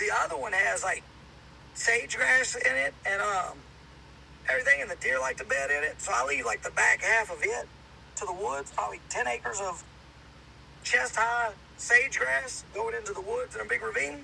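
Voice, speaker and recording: Long, frequent pauses break up a man's speech at a moderate pace. He has a slight Southern US accent. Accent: slight Southern country. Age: 30s. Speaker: hunter and outdoors podcaster. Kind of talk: casual chat.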